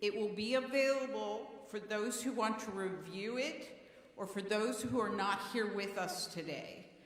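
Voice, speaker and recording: The pace is fairly slow. Room echo is audible, and there is noticeable background noise. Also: woman. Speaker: congregation council leader chairing a meeting. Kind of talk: meeting chairing. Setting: church. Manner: loud.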